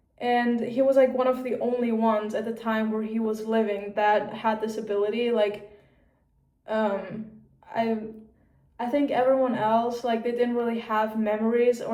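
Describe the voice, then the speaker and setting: Over audible room echo, a woman speaks in a flat monotone at a moderate pace with a fairly high pitch. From Austria. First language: German. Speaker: vlogger. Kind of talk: casual chat. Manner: casual, filler-heavy.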